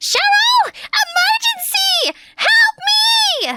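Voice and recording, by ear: A put-on character voice, shrill and extremely high in pitch, drags along at a very slow pace.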